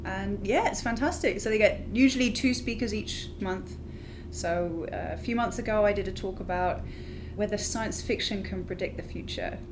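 A woman talks at a moderate pace with a British accent. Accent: British, sometimes mistaken for Australian. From UK. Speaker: graduate student in planetary science. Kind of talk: casual interview chat.

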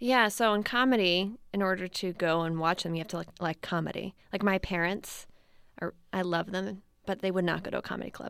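A woman's normal speaking voice with an American accent, medium pitch, ordinary pitch variation and a fairly quick pace, on a very clean recording with a silent background. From US East Coast (Maryland). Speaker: documentary filmmaker. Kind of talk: interview. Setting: studio.

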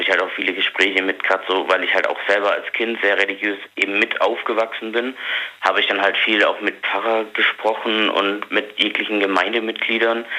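Flat and monotone, the speech moves at a moderate pace over noticeable background noise. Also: man. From Africa. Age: 20s. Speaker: caller. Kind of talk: personal testimony on phone.

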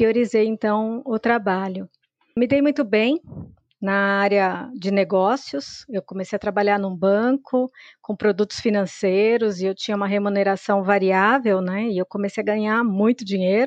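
A woman's normal speaking voice at medium pitch and moderate pace, with a dry, close sound and no echo. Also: ordinary pitch variation. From Brazil, São Paulo. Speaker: data scientist. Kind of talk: interview.

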